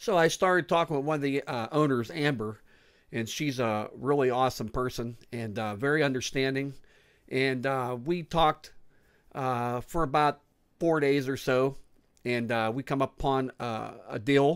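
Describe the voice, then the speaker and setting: A man at a moderate pace with ordinary pitch variation, against a quiet background. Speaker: food reviewer vlogger. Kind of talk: casual vlog chat. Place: home room. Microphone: studio mic.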